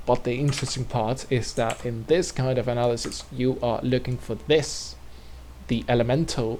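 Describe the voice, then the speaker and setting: A man at medium pitch and moderate pace. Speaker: video creator explaining a theoretical model. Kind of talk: casual explanatory monologue. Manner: halting, many fillers and restarts; loud.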